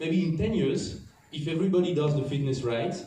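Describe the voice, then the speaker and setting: Audible room echo and noticeable background noise around a man's speech with ordinary pitch variation. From France. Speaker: tennis coach. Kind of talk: talk to an audience. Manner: halting.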